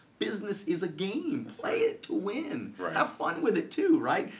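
A man's animated tone comes through noticeable background noise at a moderate pace. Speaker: financial services coach and podcaster. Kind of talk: casual interview. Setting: studio.

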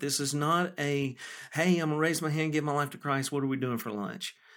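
Fairly quick speech from a man with fairly high pitch, on a very clean recording with a silent background. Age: 40s. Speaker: guest sharing faith story, father of the host. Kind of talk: casual chat. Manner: halting, many fillers.

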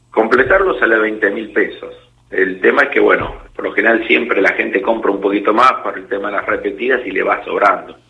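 There is noticeable background noise. A man talks over it at a fairly quick pace. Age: 40s. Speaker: kiosk owner. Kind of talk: radio interview.

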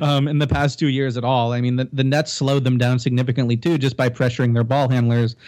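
The pace is very fast. The speaker talks with a Canadian accent. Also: man. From Canada (Toronto). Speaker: basketball writer. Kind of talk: casual chat.

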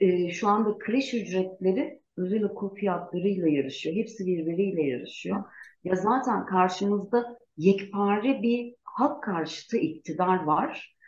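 A woman with an unremarkable speaking voice talks at a fairly slow pace in a medium pitch, her intonation lively and hardly any pauses in her speech. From Turkey, Gaziantep. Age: 40s. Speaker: lawyer and parliamentary candidate. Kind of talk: interview.

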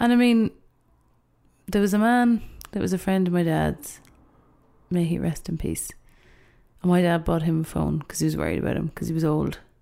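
A woman with an Irish accent at a fairly quick pace, with long, frequent pauses. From Ireland. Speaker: youth worker. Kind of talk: casual chat. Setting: studio.

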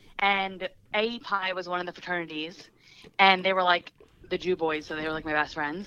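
A woman's medium-pitched voice in a New Jersey accent, bright and sharp in tone, at a fairly quick pace. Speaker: guest. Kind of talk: casual chat, storytelling.

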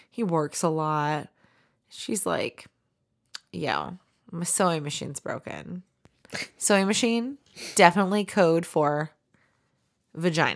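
A woman's animated voice with ordinary pitch variation and long, frequent pauses, on a very clean recording with a silent background. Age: 20s. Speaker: podcast co-host. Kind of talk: casual chat. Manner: animated, joking.

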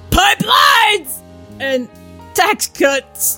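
In a put-on character voice at an extremely high pitch, the speaker shouts as faint music plays in the background. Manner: strained, grunting.

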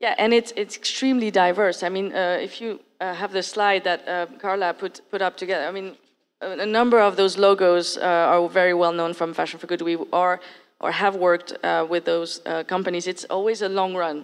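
A woman with a French accent at medium pitch, moderate pace and fairly even intonation, against a quiet background. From France. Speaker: accelerator program director. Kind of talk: panel discussion.

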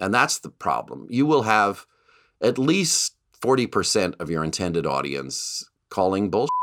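Very wide pitch swings and vocal fry mark this man's speech at a fairly slow pace. The recording is very clean, with a silent background. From Canada. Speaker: television writer and producer. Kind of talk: interview.

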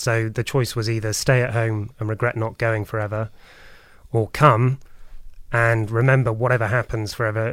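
Monotone and flat, a man with a British accent speaks in a very clean recording with a silent background. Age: 30s. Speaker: podcast guest. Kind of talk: casual chat. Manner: halting.

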